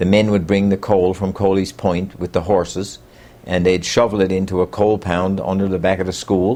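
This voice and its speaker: A man with a Newfoundland accent speaks at a moderate pace in a very deep, low pitch, with a dark, mellow tone and monotone, flat intonation. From Newfoundland, Bay Roberts. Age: 60s. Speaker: local storyteller. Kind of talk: oral history interview. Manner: halting, many fillers.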